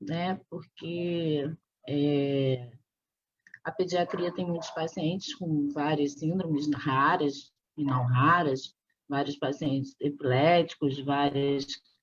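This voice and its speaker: A woman is speaking. Her pace is very slow. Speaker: physician. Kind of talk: interview.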